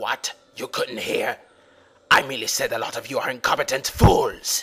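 This man's voice sounds raspy. It is a put-on character voice delivered at a fairly slow pace. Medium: dub. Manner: gruff, snarling.

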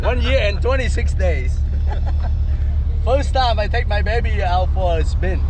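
The speech holds a moderate tempo. Beneath it sits noticeable background noise. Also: man. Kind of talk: casual vlog chat. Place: street. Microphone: phone near.

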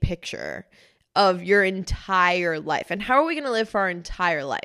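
A woman's medium-pitched voice, fairly slow, with lively intonation against a quiet background. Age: 20s. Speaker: podcast co-host. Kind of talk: casual chat. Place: studio. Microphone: studio mic.

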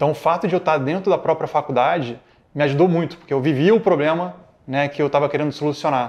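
A man's voice sits fairly high and moves very quickly, its pitch rising and falling in an ordinary way. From Rio de Janeiro, Brazil. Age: 30s. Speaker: tech executive and alumnus. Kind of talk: interview testimony. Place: studio. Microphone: lapel.

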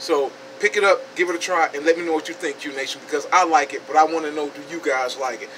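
A man races along at a very fast pace, his pitch varying in an ordinary way over light background noise. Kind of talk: casual product review. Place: shop. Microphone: phone near.

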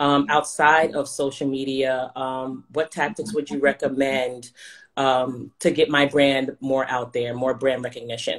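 This woman's voice is very deep and low in pitch. She talks at a fairly slow pace with fairly even intonation. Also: quiet background. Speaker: small business owner. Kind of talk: casual chat. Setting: video call. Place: home room. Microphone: video call.

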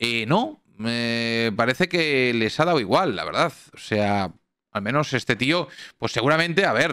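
Bright, sharp, animated male voice at medium pitch, fairly slow pace and lively intonation, dry with no echo against a quiet background. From Spain, Catalonia (small town near Barcelona). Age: 30s. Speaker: streamer. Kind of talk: live stream commentary reacting to news video. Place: home room. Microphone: studio mic.

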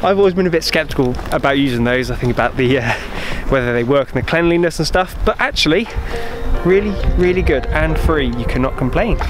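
Delivery is very fast, with very even loudness. The sound is dry with no echo, and music plays clearly in the background. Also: man. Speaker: travel vlogger. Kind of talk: casual vlog chat. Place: open country. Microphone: phone near.

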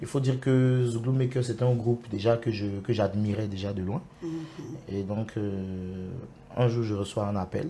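With an Ivorian accent, a man speaks fairly slowly at a medium pitch with ordinary pitch variation over light background noise. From Côte d'Ivoire, Soubré. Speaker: zouglou singer. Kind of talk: TV interview. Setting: TV studio. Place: studio. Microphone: lapel.

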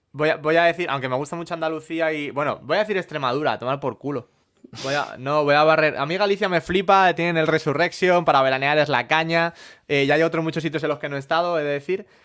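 Talking at a very fast pace, a man with a Madrid accent has a fairly high pitch and fairly even intonation. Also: quiet background. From Madrid, Spain; Spain. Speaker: comedy podcast co-host. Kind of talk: casual comedic chat. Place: home room. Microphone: studio mic.

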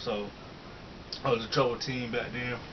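Noticeable background noise sits under a man speaking at a fairly quick pace. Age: 20s. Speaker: fitness youtuber. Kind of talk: casual Q&A chat. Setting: home video recording. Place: home room. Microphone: webcam.

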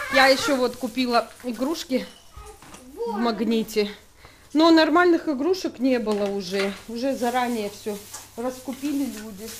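A fairly slow speaker with long, frequent pauses and ordinary pitch variation. Noticeable noise sits in the background. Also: woman, high pitch for a woman. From Sukhum, Abkhazia. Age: 30s. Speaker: mother and family vlogger. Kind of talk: casual vlog talk to camera.

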